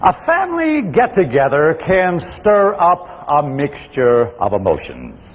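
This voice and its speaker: A man talks at a very slow pace with hardly any pauses. Noticeable background noise is present. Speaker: public speaker. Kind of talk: competitive speech to audience.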